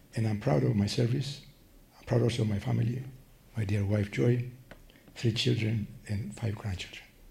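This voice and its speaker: A man's fairly low voice with a dark, mellow tone and vocal fry, in a Greek accent, with ordinary pitch variation, long, frequent pauses and audible room echo. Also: moderate pace. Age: 80s+. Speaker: patient advocate. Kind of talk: prepared statement. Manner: slurred, less clear speech from Parkinson's; careful reading.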